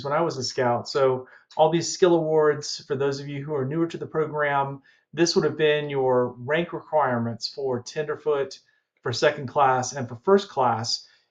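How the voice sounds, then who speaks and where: A man talks at a moderate pace with a slight Southern US accent. His pitch is fairly high, and the background is quiet. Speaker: collectibles dealer and YouTuber. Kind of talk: unboxing video. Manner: casual and conversational.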